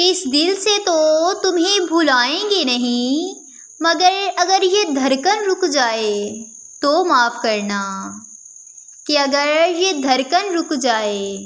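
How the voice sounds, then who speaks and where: A woman talks in an extremely high pitch with very wide pitch swings and very even loudness. Background noise is noticeable. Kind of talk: poetry reading.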